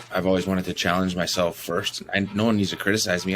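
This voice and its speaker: Very deep, low male voice with fairly even intonation and a very fast pace. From US Midwest, Green Bay, Wisconsin. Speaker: former professional footballer. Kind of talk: podcast interview. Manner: halting, many repetitions.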